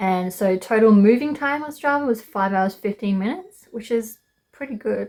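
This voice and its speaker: Moderate pacing from a woman in an Australian accent. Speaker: travel vlogger. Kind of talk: casual vlog narration. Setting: outdoors on a mountain trail.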